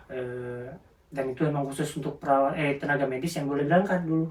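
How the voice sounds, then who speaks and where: Over noticeable background noise, a man speaks at a very fast pace. His pitch is fairly high and his intonation fairly even. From South Sumatra, Indonesia (Lubuk Linggau). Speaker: care worker. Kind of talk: interview. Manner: halting.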